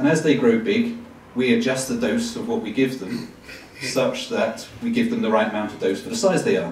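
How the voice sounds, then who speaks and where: A man talks at a moderate pace with very wide pitch swings and audible room echo. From England. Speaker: medical professor. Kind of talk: public talk. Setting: live audience. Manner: hesitant with fillers.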